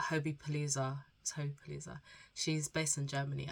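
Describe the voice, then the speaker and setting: A woman speaks very fast in a very deep, low voice that is somewhat breathy. Her intonation is monotone and flat. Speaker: student vlogger. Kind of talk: casual vlog chat. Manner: subdued, spaced out; careful, holding back coughs.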